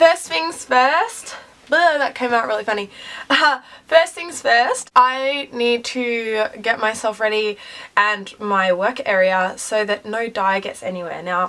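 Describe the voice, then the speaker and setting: With a bright, sharp tone, the voice moves at a very slow pace and has lively intonation. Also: woman, fairly high pitch for a woman. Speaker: beauty vlogger. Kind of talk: tutorial. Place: bathroom. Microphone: phone near.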